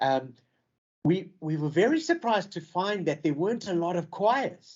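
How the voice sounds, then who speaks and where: With a South African accent, a man speaks at a moderate pace in a high pitch with ordinary pitch variation. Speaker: choir member. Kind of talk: radio interview.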